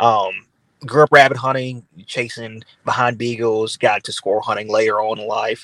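In a Louisiana accent, a man of medium pitch speaks at a moderate pace with fairly even intonation and big swings in loudness. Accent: Southern US (Louisiana). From US South, Louisiana (Baton Rouge). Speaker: hunting influencer. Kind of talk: interview. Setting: video call.

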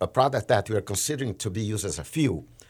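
In a Portuguese accent, a man speaks somewhat breathily with ordinary pitch variation. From Brazil. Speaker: trading manager in energy industry. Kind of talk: podcast interview. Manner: halting, frequent fillers and restarts.

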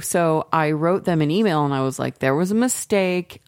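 A woman with a plain, everyday voice speaks at a moderate pace, her pitch fairly low and her intonation lively. The recording is very clean, with a silent background. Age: middle-aged. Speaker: podcast co-host. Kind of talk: casual chat.

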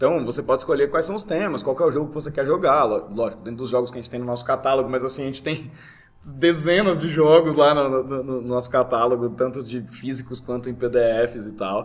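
This man has a normal speaking voice at medium pitch, with ordinary pitch variation. He talks at a fairly quick pace, with big swings in loudness. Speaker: RPG game master. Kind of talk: casual chat. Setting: live recording at a game venue.

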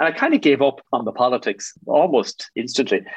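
With an Irish Midlands accent, a man talks in very wide pitch swings. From Ireland, Athlone (rural midlands). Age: 50s. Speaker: business executive. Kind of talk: interview.

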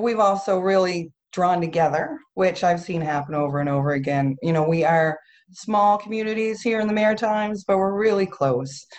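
Someone in a New Brunswick accent speaks at a moderate pace with lively intonation and hardly any pauses. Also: woman, medium pitch for a woman. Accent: Atlantic Canadian (New Brunswick). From Campobello Island, New Brunswick. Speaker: sea glass festival founder. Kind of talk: casual interview. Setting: video call.

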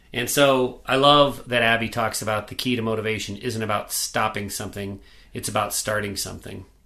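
This man talks at a fairly quick pace in a bright, sharp tone. His intonation stays fairly even. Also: medium pitch for a man. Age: 40s. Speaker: podcast co-host, recovering alcoholic. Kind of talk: casual chat.

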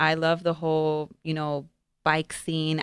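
Heard in a very clean, dry and close recording with no echo and a silent background, the speaker has an American accent. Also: woman. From Las Vegas, Nevada. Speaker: co-host, dealership employee. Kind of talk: live-streamed show, casual presentation. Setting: studio.

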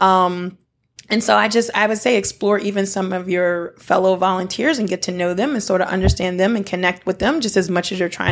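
A woman with an American accent and a normal speaking voice talks at a fairly quick pace. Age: 40s. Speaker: nonprofit founder and returned volunteer. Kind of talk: interview. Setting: dining room table.

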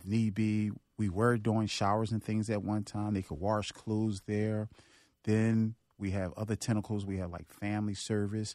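On a very clean recording with a silent background, a man speaks at a moderate pace in a fairly low pitch with monotone, flat intonation. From North Philadelphia. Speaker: nonprofit worker and former prisoner. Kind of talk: interview testimony. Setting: studio.

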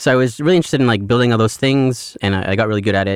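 The recording is very clean against a silent background. In it, a man speaks at a very fast pace. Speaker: postdoctoral researcher. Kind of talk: casual interview. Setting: studio.

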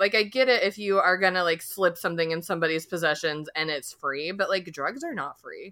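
A woman's fairly quick, bright, sharp voice with lively intonation. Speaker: podcast co-host. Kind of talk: casual chat. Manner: animated.

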